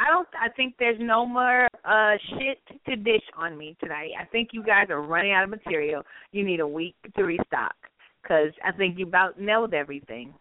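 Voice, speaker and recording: Animated in tone, a woman with a Southern US accent speaks in a medium pitch at a moderate pace with lively intonation. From North Carolina. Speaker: radio host. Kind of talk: casual chat.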